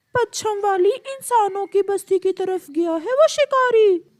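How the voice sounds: An extremely high, squeaky, cartoonish character voice moves at a fairly slow pace.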